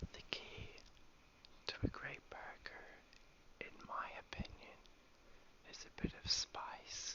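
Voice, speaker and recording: The voice is a whisper, very slow, broken by long, frequent pauses. Background noise is noticeable throughout. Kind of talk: ASMR cooking narration. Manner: whispered.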